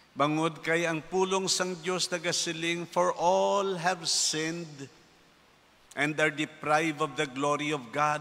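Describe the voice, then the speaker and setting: A man with a fairly high voice speaks at a fairly slow pace. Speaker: priest giving homily. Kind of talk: sermon. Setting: church. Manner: earnest, preachy, conversational; animated, mimicking skeptics' voices. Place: church. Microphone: podium.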